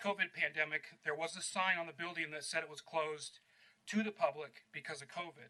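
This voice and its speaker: The voice is loud, with a bright, sharp tone. It moves at a fairly quick pace with fairly even intonation. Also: man. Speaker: member of the public giving comment. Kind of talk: public comment at council meeting. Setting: public meeting chamber. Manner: hesitant.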